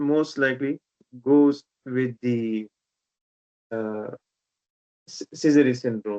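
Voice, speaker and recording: In a Pashto accent, a man speaks at a very slow pace, the sound dry and close with no echo. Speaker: haematology teacher. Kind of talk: online teaching session.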